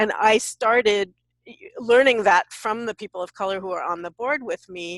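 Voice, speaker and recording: A woman with an American accent and an unremarkable speaking voice talks at a moderate pace and medium pitch, with a dry, close sound and no echo. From US West Coast, San Francisco. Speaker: diversity workshop leader. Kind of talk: webinar panel discussion.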